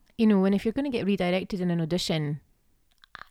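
Speaking at a very fast pace with a Scottish accent, a woman has a dark, mellow tone and ordinary pitch variation, captured in a very clean recording with a silent background. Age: 30s. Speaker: actor. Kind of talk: casual chat.

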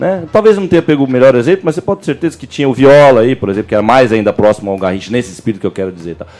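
The voice races at a very fast pace with very wide pitch swings and hardly any pauses. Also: man, medium pitch for a man. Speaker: football podcast co-host. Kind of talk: casual chat.

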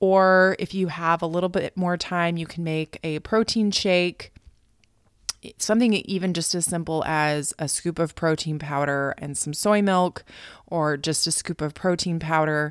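A woman's ordinary speaking voice with an American accent, fairly low in pitch, at a fairly slow pace with fairly even intonation, dry and close with no echo on a very clean recording with a silent background. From United States. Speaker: fitness and nutrition coach, podcast host. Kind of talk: solo podcast talk.

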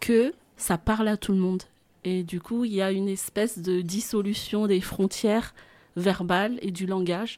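A woman speaks at a fairly slow pace in a medium pitch, her tone dark and mellow, with ordinary pitch variation. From Madagascar, central highlands. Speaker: singing teacher and voice coach. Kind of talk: radio interview. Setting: radio studio.

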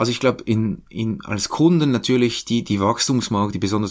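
With a fairly low pitch and ordinary pitch variation, a man speaks at a fairly quick pace. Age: 40s. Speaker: think tank research head. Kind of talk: interview. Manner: halting.

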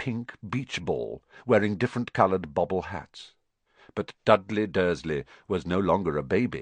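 Plain reading aloud with ordinary pitch variation over a quiet background.

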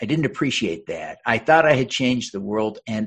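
An ordinary speaking voice with an American accent carries lively intonation against a quiet background. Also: man. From Utah. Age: 50s. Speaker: congressional candidate and author. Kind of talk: interview.

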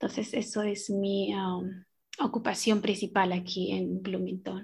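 With vocal fry and monotone, flat intonation, a woman speaks at a fairly slow pace on a very clean recording with a silent background. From Peruvian Andes. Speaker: translator and Quechua community organizer. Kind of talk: casual radio interview.

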